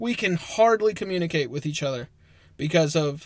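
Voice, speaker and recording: A man with an American accent speaks at a fairly high pitch and a moderate pace, with ordinary pitch variation. He has a plain, everyday voice. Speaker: podcast co-host. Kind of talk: casual chat.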